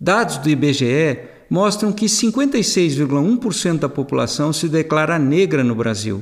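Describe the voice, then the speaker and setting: At a very slow pace, a man speaks with very wide pitch swings and very even loudness. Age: 60s. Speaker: author and financial commentator. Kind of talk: scripted narration.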